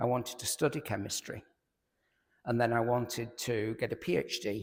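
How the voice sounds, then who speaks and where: A man's somewhat breathy voice at medium pitch, with fairly even intonation and a moderate pace. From northern England, Lancashire. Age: 70s. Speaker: chemistry professor and lay preacher. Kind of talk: talk to a church audience. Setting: church hall with audience, echoey.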